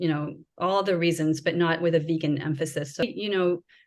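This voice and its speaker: A woman with an American accent speaks in a normal speaking voice, her pitch varying in an ordinary way. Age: 50s. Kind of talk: interview answer.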